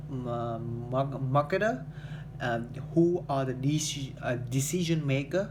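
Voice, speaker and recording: With a Vietnamese accent, a man speaks at a fairly high pitch with ordinary pitch variation, amid audible room echo. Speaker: English learner, salesman. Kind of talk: speaking practice monologue. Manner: halting, many fillers.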